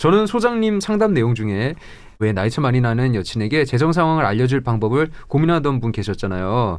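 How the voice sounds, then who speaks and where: A man talks at a fairly quick pace in a medium voice. His pitch swings very widely while his loudness stays very even. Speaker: announcer co-host. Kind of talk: casual radio chat. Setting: radio studio.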